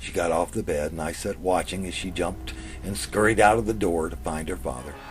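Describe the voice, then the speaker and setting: A man with an American accent speaks at a fairly quick pace, his very deep, low voice full of lively intonation. Music plays in the background, and the room echo is audible. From US South. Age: 60s. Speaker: author reading his own story. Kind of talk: reading aloud.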